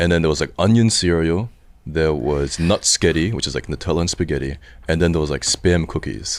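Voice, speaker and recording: A man's very deep, low voice with vocal fry and an Australian accent, at a fairly quick pace with ordinary pitch variation. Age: 30s. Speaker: streamer. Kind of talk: casual chat.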